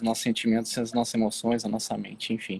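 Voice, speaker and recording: The speaker is a man. His pitch is medium. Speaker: online Bible show host. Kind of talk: casual Bible discussion livestream. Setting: outdoors on the street, live video. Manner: hesitant, many fillers.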